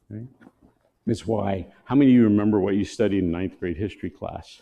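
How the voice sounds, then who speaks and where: In a plain, everyday voice, a man speaks at a fairly quick pace with fairly low pitch and fairly even intonation. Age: 60s. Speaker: missionary ministry leader. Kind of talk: sermon.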